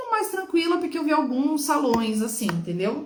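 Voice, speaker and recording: A woman with a high voice speaks at a moderate pace, her pitch swinging very widely, with audible room echo. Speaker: nail technician. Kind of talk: casual chat. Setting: live stream.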